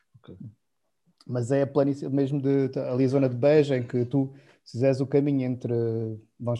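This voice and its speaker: Monotone, flat intonation from a man whose medium-pitched voice has a dark, mellow tone. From Portugal, Alentejo. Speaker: winemaker. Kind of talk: casual chat.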